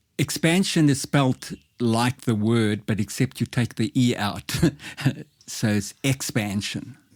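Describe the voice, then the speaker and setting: In a very clean recording with a silent background and a dry, close sound with no echo, a man speaks very slowly at a medium pitch, with very even loudness and ordinary pitch variation. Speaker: life coach. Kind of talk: podcast interview. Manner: speech disfluency, occasional hesitation.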